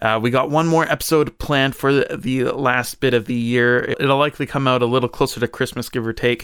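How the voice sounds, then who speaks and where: This man has an ordinary speaking voice at a medium pitch. His intonation is fairly even. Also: very clean recording, silent background. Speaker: podcast co-host. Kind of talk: casual podcast interview.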